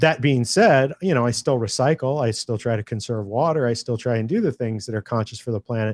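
With a normal speaking voice and ordinary pitch variation, a man talks at a fairly quick pace in a dry, close recording with no echo. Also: very clean recording, silent background. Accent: American. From California. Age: 40s. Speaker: independent filmmaker. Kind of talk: interview storytelling.

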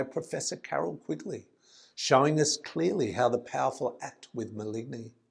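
A man speaks at a moderate pace with lively intonation and some vocal fry. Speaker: poet. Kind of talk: poet spoken word, rhymed and rhythmic, earnest delivery. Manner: earnest, measured, declamatory with rhythmic emphasis on the rhymes.

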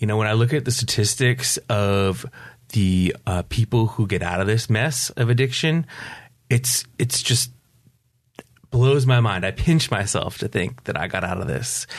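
Somewhat breathy and medium in pitch, a man with an American accent speaks at a fairly slow pace. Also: ordinary pitch variation. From upstate New York. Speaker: recovery coach. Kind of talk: interview.

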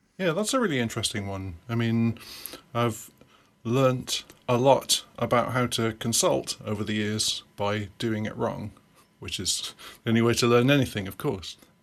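A man speaks with a British accent at a moderate pace. His pitch is medium, with ordinary variation. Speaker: software consultant and programming teacher. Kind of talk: casual interview. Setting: remote call.

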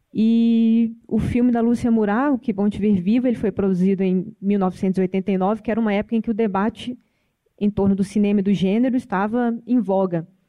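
Loudness very even and intonation fairly even, a woman with an unremarkable speaking voice of medium pitch talks at a moderate pace. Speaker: film studies professor. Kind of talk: panel debate.

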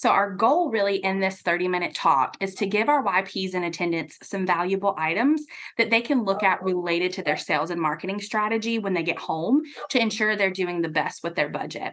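Lively intonation marks an ordinary speaking voice delivered at a fairly quick pace. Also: woman, medium pitch for a woman. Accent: American. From US South, Atlanta, Georgia. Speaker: marketing executive. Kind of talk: radio interview. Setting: studio.

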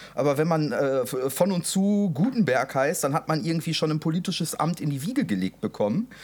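Very wide pitch swings run through this man's fairly high voice as he talks at a moderate pace. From Westphalia, Germany. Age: 20s. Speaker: podcast co-host. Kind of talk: casual chat.

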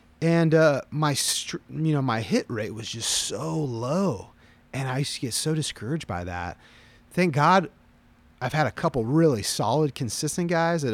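In a normal speaking voice, a man speaks at a moderate pace and a fairly high pitch with lively intonation. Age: 30s. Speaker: pastor. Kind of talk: casual chat.

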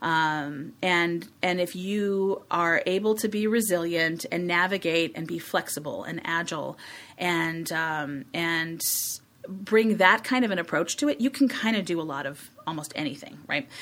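With an American accent and a normal speaking voice, a woman speaks at a fairly slow pace, her fairly low pitch carried by lively intonation. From Chicago, US Midwest. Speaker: communications agency executive. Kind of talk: interview.

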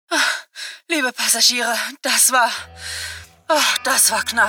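In a put-on character voice, a woman speaks at a slow pace with a bright, sharp tone, a slightly husky edge, a fairly high pitch and ordinary pitch variation, with faint music in the background.

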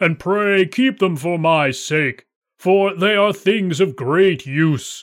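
A man puts on a character voice with a high pitch. He speaks at a very slow pace in a very clean recording with a silent background. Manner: boastful, then frightened.

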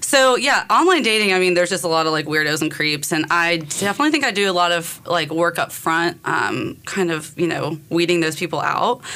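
A woman with an American accent talks at a fairly quick pace with hardly any pauses. Her fairly low-pitched voice has a bright, sharp tone. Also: ordinary pitch variation. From North Carolina. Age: 30s. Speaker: dating show guest. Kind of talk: casual chat. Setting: radio studio.

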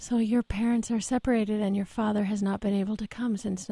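A woman with a fairly high pitch talks at a fairly quick pace, somewhat breathy, with a dark, mellow tone, monotone, flat intonation and a dry, close sound with no echo. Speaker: radio host. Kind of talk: radio interview. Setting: studio.

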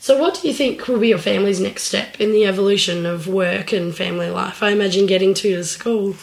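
A woman's medium-pitched voice, very fast with hardly any pauses, against noticeable background noise. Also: ordinary pitch variation. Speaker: podcast host and working parent. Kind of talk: casual interview chat.

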